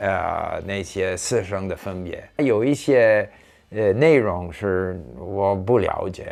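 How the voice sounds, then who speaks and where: A man's very slow speech, fairly low in pitch, with ordinary pitch variation. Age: 70s. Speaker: former diplomat, polyglot. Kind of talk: interview answer.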